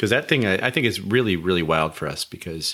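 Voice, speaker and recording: The recording is very clean, and the background is silent. A man talks in a very deep, low voice. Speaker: panel moderator, data scientist. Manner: halting, many fillers.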